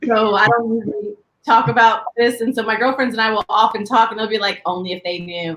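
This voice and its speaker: At a fairly quick pace, a woman speaks in a normal speaking voice with a fairly high pitch. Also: ordinary pitch variation. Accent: American. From Southern California, San Diego. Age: 40s. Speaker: podcast co-host, doctor. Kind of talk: casual chat.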